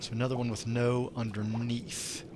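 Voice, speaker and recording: A man's voice with an American accent and fairly even intonation, in audible room echo with noticeable background noise. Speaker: gamer streamer. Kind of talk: live gameplay commentary. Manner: casual, conversational.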